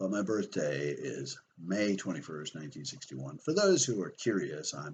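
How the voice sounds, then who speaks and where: A man's very deep, low voice with vocal fry. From Canada, from age 13, born in Belfast. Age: 50s. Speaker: conspiracy video host. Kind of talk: personal monologue.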